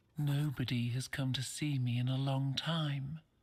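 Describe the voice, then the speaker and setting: Using a put-on character voice, the speaker holds a low-to-middle pitch at a moderate pace with monotone, flat intonation. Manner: mysterious.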